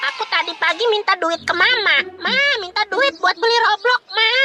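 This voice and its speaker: The clip features a cartoonish character voice. It moves at a moderate pace. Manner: casual slangy chatter.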